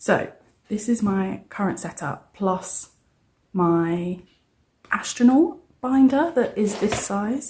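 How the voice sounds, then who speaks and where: A soft-spoken woman with a British accent talks at a medium pitch with lively intonation. Her tone is dark and mellow, and somewhat breathy. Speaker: cash budgeting vlogger. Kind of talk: casual vlog. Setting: at home, early morning. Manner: quiet, soft-spoken.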